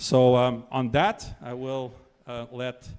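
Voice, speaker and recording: A man speaks with a French accent. His pitch sits in the medium range. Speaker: political speaker. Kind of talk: public speech.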